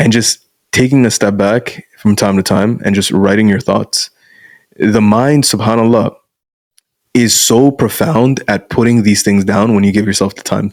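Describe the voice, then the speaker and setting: A man's fairly low-pitched, ordinary speaking voice, moving at a moderate pace. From Canada (born in Bangladesh, moved at five). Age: 20s. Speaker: masculinity coach. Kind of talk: casual interview chat.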